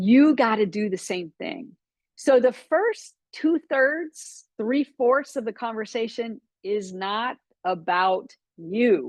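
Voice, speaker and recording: With a slight Texan accent, a woman talks at a very slow pace with lively intonation and a fairly high pitch, in a dry, close sound with no echo against a quiet background. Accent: slight Texan twang. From Florida. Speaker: business coach. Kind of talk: webinar training talk.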